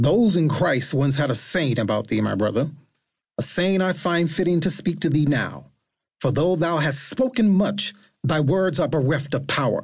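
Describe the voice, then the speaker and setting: This man talks at a moderate pace in a fairly high pitch with vocal fry. His intonation is lively while his loudness stays very even. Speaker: audiobook narrator and author. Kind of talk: dramatic audiobook narration with archaic, King James-style character speech. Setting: studio recording. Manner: theatrical and declamatory, lofty biblical cadence.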